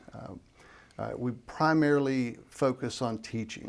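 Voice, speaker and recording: A man with a plain, everyday voice speaks at medium pitch, using ordinary pitch variation. The recording is very clean, with a silent background. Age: 60s. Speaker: professor. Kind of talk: interview.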